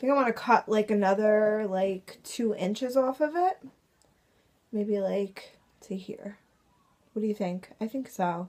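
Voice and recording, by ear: At a fairly slow pace, a woman speaks in a medium pitch with ordinary pitch variation, a slightly mellow tone, and long, frequent pauses.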